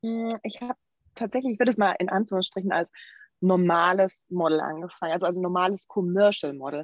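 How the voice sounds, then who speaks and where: This woman has an ordinary speaking voice at a medium pitch, with ordinary pitch variation. She talks at a fairly quick pace in a dry, close sound with no echo. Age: 30s. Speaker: model and nutrition coach. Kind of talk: interview.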